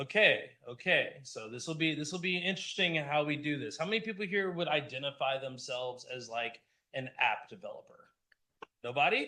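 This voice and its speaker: Loud and fairly quick, a man speaks with a bright, sharp tone, fairly high pitch and lively intonation. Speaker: conference speaker, app developer. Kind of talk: talk at a user group meetup. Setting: stage with live audience, also streamed on Zoom.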